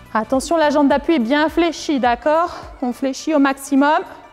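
Over faint music in the background, a woman speaks very slowly at a high pitch with ordinary pitch variation. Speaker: fitness instructor. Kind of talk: exercise class instructions. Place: gym.

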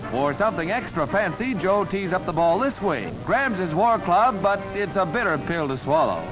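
Over music in the background, a man with a high pitch and lively intonation talks at a moderate pace with hardly any pauses. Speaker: newsreel narrator. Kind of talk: newsreel narration.

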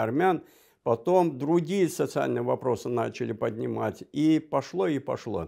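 Very slow speech over a quiet background. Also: man. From Azerbaijan. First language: Azerbaijani (speaking Russian). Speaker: diplomat; guest. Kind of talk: interview. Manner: halting. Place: studio. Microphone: lapel.

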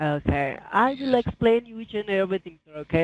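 The pace is moderate. The sound is dry with no echo. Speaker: caller. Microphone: phone line.

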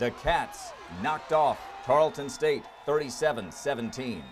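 Noticeable background noise sits behind a man at a fairly high pitch. He speaks with lively intonation at a moderate pace. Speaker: sports broadcaster, team play-by-play announcer. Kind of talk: sports season recap voice-over narration.

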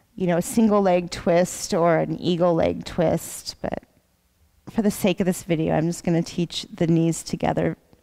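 A woman speaks with a fairly low pitch and a dark, mellow tone. Her pitch varies in an ordinary way against a quiet background. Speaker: yoga teacher. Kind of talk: guided yoga instruction. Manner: soft-spoken, slow. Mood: calm, soothing bedtime tone. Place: gym.

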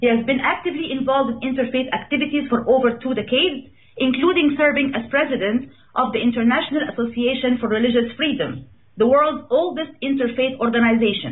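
Talking at a very fast pace, a woman uses a high pitch with ordinary pitch variation. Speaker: radio show host. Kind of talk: host introduction. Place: studio.

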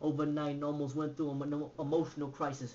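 A man speaks in a fairly high voice with flat, monotone intonation. Light noise sits in the background. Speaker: author and poet. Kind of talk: spoken word poetry performance. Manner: rhythmic, fast. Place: home room. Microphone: webcam.

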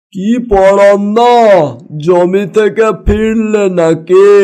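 Putting on a cartoonish character voice, a man speaks at a high pitch with fairly even intonation. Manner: rustic, chatty.

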